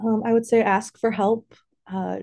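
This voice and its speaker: A woman with an American accent speaks in a dark, mellow tone and monotone, flat intonation against a quiet background. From Central Illinois. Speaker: school psychology intern. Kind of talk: casual interview chat.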